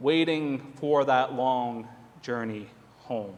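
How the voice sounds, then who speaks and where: A man is heard over noticeable background noise. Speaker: preacher, church minister. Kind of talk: sermon reflection delivered to a congregation. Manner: conversational, friendly.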